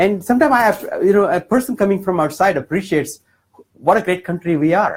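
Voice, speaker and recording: Talking at a very fast pace with an Indian accent, a man uses a high pitch and lively intonation while holding a very even loudness. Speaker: political candidate. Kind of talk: town hall speech. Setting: campaign office with audience.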